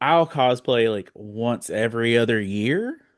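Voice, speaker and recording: The pace is fairly slow. It is a plain, everyday voice. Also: man. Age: 40s. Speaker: podcast host. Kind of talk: casual chat.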